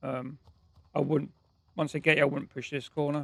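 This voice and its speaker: A man's fairly high voice, monotone and flat, with vocal fry. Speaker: gaming streamer. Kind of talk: live gameplay commentary. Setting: live stream. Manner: casual.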